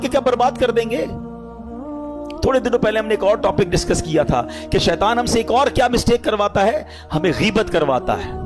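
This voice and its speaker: A man with a high pitch and ordinary pitch variation talks while music plays in the background. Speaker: Islamic preacher. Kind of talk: Islamic sermon (bayan) delivered to an audience. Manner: emotional, conversational, lively.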